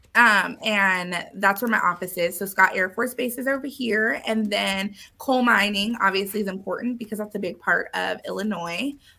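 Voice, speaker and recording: In a Californian accent, a woman speaks at a medium pitch and a moderate pace with ordinary pitch variation. Her tone is bright and sharp, and she leaves hardly any pauses. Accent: Californian American. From Southern California, San Diego. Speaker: realtor. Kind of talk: casual interview chat.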